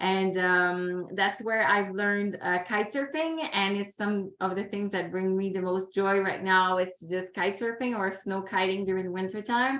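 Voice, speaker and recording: With a Quebec accent, a woman speaks in a bright, sharp tone at a medium pitch, with fairly even intonation and a moderate pace. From Quebec, Canada. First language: French. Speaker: environmental consultant and youth ambassador. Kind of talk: webinar panel talk. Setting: video call.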